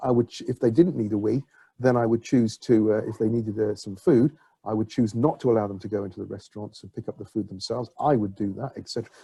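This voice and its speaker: Somewhat breathy and dark, mellow in tone, a man talks at a very fast pace. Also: medium pitch for a man, ordinary pitch variation, big swings in loudness, dry, close sound with no echo. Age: 60s. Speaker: public health official. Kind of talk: webinar Q&A answer. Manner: halting.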